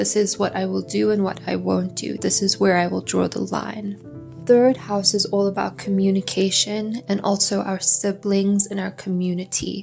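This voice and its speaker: Music plays in the background as the speaker keeps a moderate pace in a calm, soothing tone with hardly any pauses. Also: woman. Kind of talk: calm educational astrology lesson, ASMR style. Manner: calm, soothing, soft-spoken.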